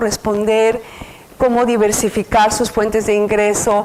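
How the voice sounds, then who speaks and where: A woman is heard over noticeable background noise. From Mexico City. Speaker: researcher lecturer. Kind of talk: lecture. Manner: halting, many fillers.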